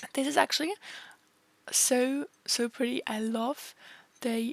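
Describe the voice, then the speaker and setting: Against music in the background, a woman speaks at a very slow pace and fairly high pitch, in a dry, close sound with no echo. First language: not English. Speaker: sims game youtuber. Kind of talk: casual voiceover commentary. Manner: casual, filler-heavy.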